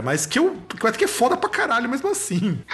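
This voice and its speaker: A man with lively intonation over noticeable background noise. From Rio Grande do Sul, Brazil. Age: 30s. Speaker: podcast host and music teacher. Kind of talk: casual interview chat.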